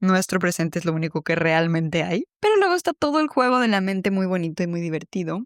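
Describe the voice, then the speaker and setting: A woman in a Mexican accent at medium pitch, very fast with hardly any pauses and lively intonation, in a dry, close sound with no echo. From Mexico City. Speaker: podcast host, psychologist. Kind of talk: reflective personal podcast monologue.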